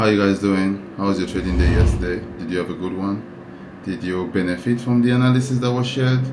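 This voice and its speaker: A man with a fairly low pitch talks at a very fast pace, with very wide pitch swings. Audible room echo and noticeable background noise fill the recording. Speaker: trading educator. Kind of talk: tutorial. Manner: thinking aloud, sometimes mumbling; halting, with self-repeats.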